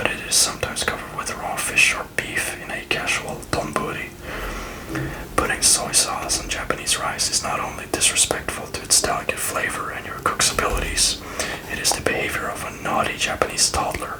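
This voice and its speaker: Whispering at a fairly quick pace, a woman speaks over noticeable background noise. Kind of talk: travel guide reading. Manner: whispered, soft-spoken.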